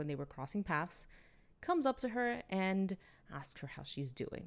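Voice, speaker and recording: Here is a woman speaking. Her pitch is fairly low. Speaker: solo podcast host reviewing manga. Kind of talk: solo review monologue. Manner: stumbling over words at times; chatty, conversational.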